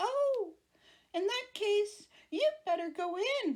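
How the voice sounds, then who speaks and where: At a fairly slow pace, the speaker uses a squeaky, put-on character voice. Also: woman, extremely high pitch for a woman. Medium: read story. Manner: loud, growling bluster.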